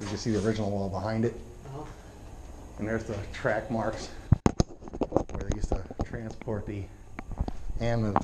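Fairly quick speech over loud background noise. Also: man. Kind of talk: casual exploring commentary. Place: tunnel cave. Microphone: phone near.

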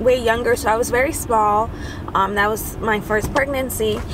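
A woman's voice with noticeable background noise and a dry sound with no echo. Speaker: mother vlogger. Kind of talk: casual vlog chat. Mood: earnest, personal, a bit emotional. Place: car.

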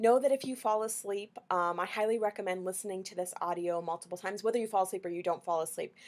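Very fast speech from a woman, medium in pitch and with ordinary pitch variation. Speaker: energy clearing facilitator. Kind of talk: guided meditation. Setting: video recording. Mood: calm soothing guidance. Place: home room. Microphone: webcam.

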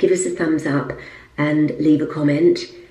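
A quiet woman speaks in a very deep, low pitch, with audible room echo around her. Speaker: lifestyle vlogger and presenter; lifestyle vlogger. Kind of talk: casual vlog talk. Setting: at home in apartment. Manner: quiet, voice kept down. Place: bathroom. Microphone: phone near.

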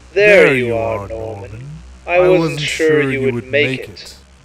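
Hissing through a put-on character voice, a man speaks at a fairly slow pace in a medium pitch. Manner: hissing, chilling.

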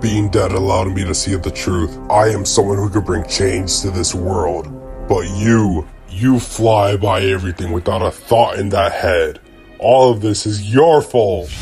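Over clear background music, a man puts on a cartoonish character voice with a fairly low pitch. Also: moderate pace. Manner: accusing, bitter; menacing, gloating.

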